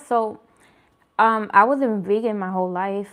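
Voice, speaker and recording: A woman speaks with ordinary pitch variation. The recording is very clean, with a silent background. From New York, the Bronx. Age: 30s. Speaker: vegan food vlogger. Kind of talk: casual chat with live viewers. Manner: casual, hesitant with fillers.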